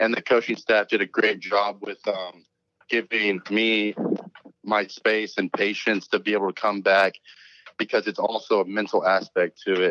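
A man with an American accent talks at a moderate pace in a fairly low pitch, monotone and flat. His tone is bright and sharp, and the sound is dry and close with no echo. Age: 20s. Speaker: college football player, draft prospect. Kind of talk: interview.

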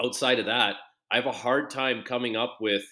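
A man's normal speaking voice, fairly slow in pace, with fairly even intonation. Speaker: former hockey player and TSN analyst. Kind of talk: casual interview.

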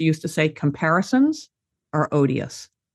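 The woman's pitch is very deep and low. Her background stays quiet. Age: 70s. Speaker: activist and author on aging. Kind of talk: interview conversation.

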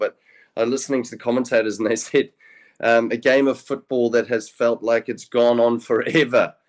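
A man with a New Zealand accent, medium in pitch, at a fairly quick pace. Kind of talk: casual radio chat. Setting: remote, hotel.

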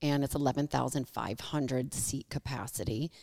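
A woman with an American accent speaks at a very deep, low pitch, her tone dark and mellow with vocal fry. The sound is dry and close with no echo, on a very clean recording over a silent background. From Michigan. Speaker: sports club president. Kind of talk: casual interview. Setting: conference room.

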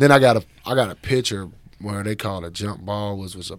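With an American accent, this man has a plain, everyday voice, fairly low in pitch, with ordinary pitch variation. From Chicago. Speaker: former college basketball player. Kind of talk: casual interview.

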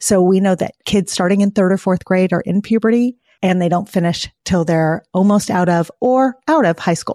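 A woman with a plain, everyday voice talks at a medium pitch and moderate pace, with ordinary pitch variation, very even loudness, hardly any pauses and a dry, close sound with no echo. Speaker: pediatrician and author. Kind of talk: casual interview.

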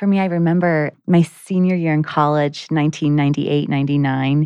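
A woman speaks in a very deep, low voice with a dark, mellow tone and fairly even intonation, recorded dry and close with no echo against a quiet background. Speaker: guest. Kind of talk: testimony. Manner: rising intonation at sentence ends.

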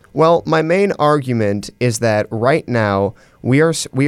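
Lively intonation marks an unremarkable speaking voice at a moderate pace, recorded very cleanly against a silent background. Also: man. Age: young. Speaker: university student, writer. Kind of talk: casual interview discussion. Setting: studio.

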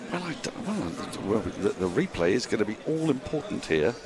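Amid noticeable background noise, a man speaks at a fairly slow pace with very wide pitch swings. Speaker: cricket commentator. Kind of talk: live ball-by-ball cricket commentary. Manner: excitable, halting bursts when drama unfolds.

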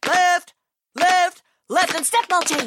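This is a put-on character voice. The pitch is extremely high. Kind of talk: commanding. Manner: barking.

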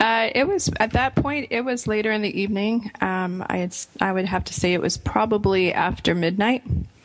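Against noticeable background noise, a woman with a fairly high pitch talks with hardly any pauses. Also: ordinary pitch variation, moderate pace. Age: young. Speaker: radio host and cosmetics entrepreneur. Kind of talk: casual chat.

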